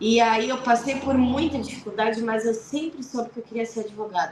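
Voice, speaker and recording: A woman with a southern Brazilian accent and a high pitch, at a moderate pace, over noticeable background noise. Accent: gaúcho Brazilian Portuguese. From southern Brazil, Rio Grande do Sul (Piratini, Pelotas). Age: 40s. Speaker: lawyer. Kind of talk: radio interview.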